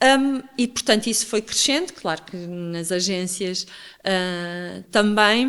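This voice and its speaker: A woman at medium pitch with ordinary pitch variation, speaking at a very slow pace. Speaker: communications executive and mentor. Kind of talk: interview conversation.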